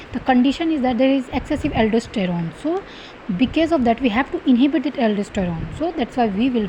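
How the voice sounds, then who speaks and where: Over noticeable background noise, a woman talks fairly quickly in a high pitch with lively intonation. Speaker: medical exam tutor. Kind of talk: lecture. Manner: fast.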